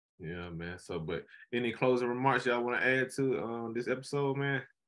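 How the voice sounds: Using a medium pitch and a fairly bright tone, a man speaks at a moderate pace with ordinary pitch variation.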